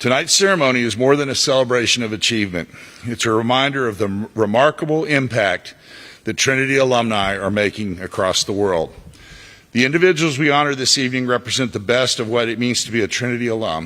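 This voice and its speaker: A man talks at a very fast pace in a bright, sharp tone with ordinary pitch variation. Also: medium pitch for a man. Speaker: alumni board president. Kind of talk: ceremony speech. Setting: stage with audience. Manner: formal.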